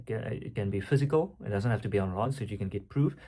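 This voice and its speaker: In an Afrikaans South African accent, a man speaks at a fairly quick pace. His somewhat breathy voice sits at a medium pitch with ordinary variation. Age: 20s. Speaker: online coach and entrepreneur. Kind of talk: casual vlog monologue. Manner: halting, many fillers.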